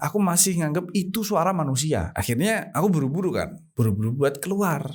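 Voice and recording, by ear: A man talks at a fairly quick pace with lively intonation. His pitch is fairly high and his tone slightly mellow.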